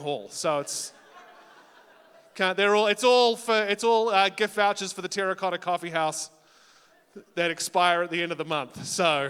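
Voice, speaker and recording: A man's animated, high-pitched voice with ordinary pitch variation. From New Zealand. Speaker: talent show host and comedian. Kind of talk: live emcee hosting with stand-up jokes. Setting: stage with audience.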